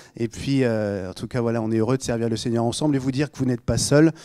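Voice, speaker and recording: A man with a slight Normandy accent has a dark, mellow tone and ordinary pitch variation. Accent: slight Normandy accent, rather clipped. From Normandy, Rouen. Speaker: pastor. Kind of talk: sermon. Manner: casual, joking.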